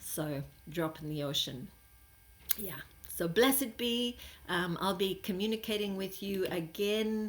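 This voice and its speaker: Pausing long and often, a woman speaks fairly slowly at a medium pitch with lively intonation. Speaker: spiritual teacher. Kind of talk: spiritual monologue. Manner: halting, many fillers.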